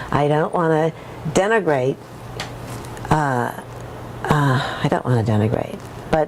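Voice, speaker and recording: Lively intonation in an American accent at a fairly slow pace, over noticeable background noise. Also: woman. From USA. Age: old. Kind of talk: interview testimony. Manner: halting, many repetitions and false starts.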